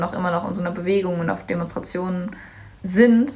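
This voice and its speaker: A woman at a medium pitch talks at a moderate pace, with audible room echo and noticeable background noise. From Germany, Cologne. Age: young. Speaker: climate activist, student. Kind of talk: interview.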